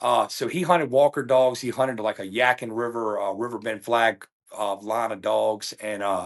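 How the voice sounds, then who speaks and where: A man at a medium pitch with a Virginia accent, moderate pace and ordinary pitch variation. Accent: Virginia Southern US. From Virginia, near Richmond. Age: 40s. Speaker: coonhound hunter and trainer. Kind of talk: casual interview chat. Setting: podcast recording. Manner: halting, repeats words.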